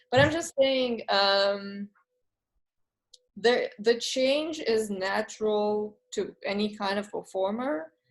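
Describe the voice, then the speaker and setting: At a very slow pace, a woman with a non-native accent talks in a fairly high voice with ordinary pitch variation. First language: not English. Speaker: art student asking questions. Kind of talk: conversational art talk Q&A. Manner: hesitant, with fillers.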